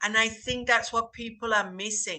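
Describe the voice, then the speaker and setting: A woman speaks with a strong northern English accent. Her tone is bright and sharp. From northern England. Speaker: English teacher. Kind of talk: casual group discussion.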